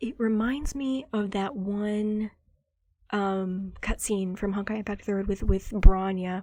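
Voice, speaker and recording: Quiet speech comes at a very slow pace on a very clean recording with a silent background. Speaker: gaming video reactor. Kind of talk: casual reaction commentary.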